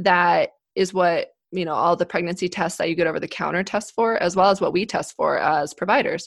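A woman with an American accent talks in a plain, everyday voice. Her pace is fairly quick, her pitch medium, with ordinary pitch variation. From Colorado, US. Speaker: obstetrician-gynecologist. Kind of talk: podcast interview, medical explanation.

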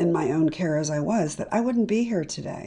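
The intonation is lively. The tone is dark and mellow. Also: woman. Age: 60s. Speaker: cancer survivor and patient advocate. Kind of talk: interview.

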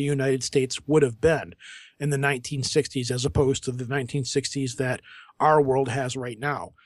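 A normal speaking voice at a fairly quick pace over a quiet background. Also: man. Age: 40s. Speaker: podcaster. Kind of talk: casual chat.

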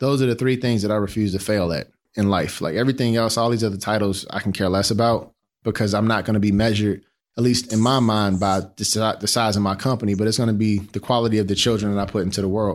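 A man with an American accent speaks at a very fast pace and a fairly low pitch, with fairly even intonation and very even loudness. The recording is very clean, with a silent background. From Chicago, South Side. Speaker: design executive and startup founder. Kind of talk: interview. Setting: studio.

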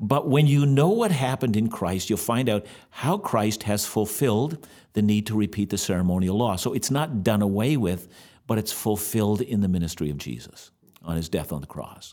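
This man has a dark, mellow tone and a fairly low pitch, speaking at a moderate pace with lively intonation on a very clean recording with a silent background. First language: German. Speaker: bible teacher. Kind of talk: religious Q&A discussion. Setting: studio.

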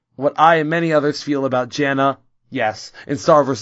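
Here a man speaks at a fairly high pitch. His voice shows ordinary pitch variation. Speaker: podcast host. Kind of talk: casual chat. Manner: excitable.

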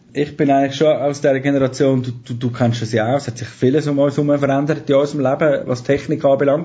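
Very fast and monotone, a man's somewhat breathy voice sits at a fairly high pitch with flat intonation. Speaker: radio producer and trainer. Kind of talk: casual interview.

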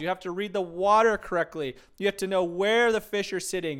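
On a very clean recording with a silent background, a man with an American accent talks at a high pitch and a fairly quick pace with ordinary pitch variation. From Arizona (Tucson). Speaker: financial advisor and podcast host. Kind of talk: casual monologue.

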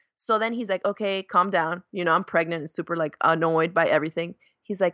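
A woman with an American accent, animated and bright, sharp in tone, in a dry, close sound with no echo over a quiet background. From Miami, Florida (Dominican family). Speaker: crafts YouTuber and homesteader. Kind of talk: casual interview.

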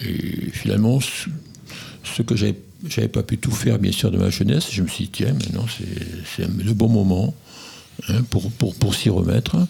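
Against noticeable background noise, a man speaks at a fairly slow pace with long, frequent pauses. His pitch is fairly low, with ordinary pitch variation. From southern Gironde, France. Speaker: hiking club vice-president. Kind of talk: radio interview.

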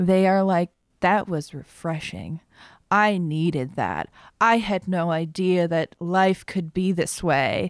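In a very clean recording with a silent background and a dry, close sound with no echo, a woman speaks very slowly with fairly even intonation. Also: fairly low pitch for a woman. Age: 30s. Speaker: speech therapist and improv performer. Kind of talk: casual interview. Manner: hesitant, many fillers.

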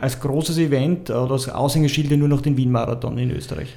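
Speaking at a very fast pace, a man with a medium pitch is heard with audible room echo. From Vienna. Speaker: podcast host. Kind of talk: casual interview.

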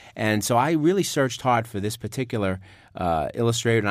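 A man with a New York accent, fairly low pitch and lively intonation at a fairly quick pace, on a very clean recording with a silent background. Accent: New York, noticeable. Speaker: author. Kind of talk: interview and reading book aloud.

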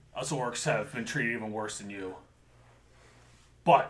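A man in a put-on character voice. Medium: actual play. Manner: blunt, measured and calculating.

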